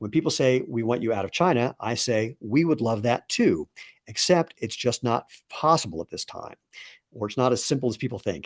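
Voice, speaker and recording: A man with a plain, everyday voice talks at medium pitch and a moderate pace, his intonation lively. The very clean recording has a silent background and a dry, close sound with no echo. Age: 60s. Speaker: company co-founder and CEO. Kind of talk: live product presentation. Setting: livestream. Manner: casual and conversational.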